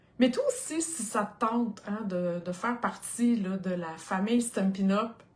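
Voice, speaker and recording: A woman with a Quebec accent, medium in pitch and somewhat breathy. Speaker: craft product demonstrator. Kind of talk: live stream product presentation. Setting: live video stream. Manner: animated.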